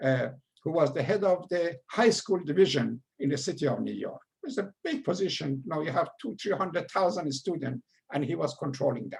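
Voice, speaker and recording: A man speaks at a moderate pace with a strong Persian accent. His pitch swings very widely. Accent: heavy Persian. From Iran. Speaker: retired educator. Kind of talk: lecture. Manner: halting.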